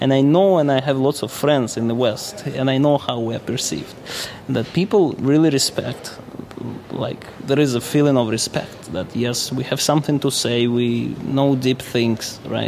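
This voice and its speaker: Amid noticeable background noise, a man of medium pitch speaks at a moderate pace with ordinary pitch variation. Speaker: observer of life in Russia. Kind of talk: casual interview conversation. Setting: hotel lobby.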